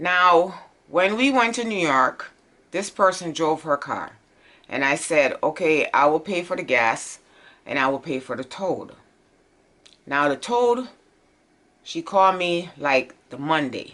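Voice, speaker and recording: Against a quiet background, a woman speaks at a fairly low pitch and fairly slow pace, her tone bright and sharp, her intonation lively, with long, frequent pauses. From Jamaica. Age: 50s. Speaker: vlogger. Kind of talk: casual chat. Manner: animated.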